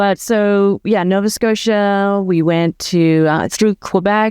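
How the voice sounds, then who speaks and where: A woman's medium-pitched, ordinary speaking voice with ordinary pitch variation, in a dry, close sound with no echo against a quiet background. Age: 60s. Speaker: veterinarian turned van life community founder. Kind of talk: interview conversation.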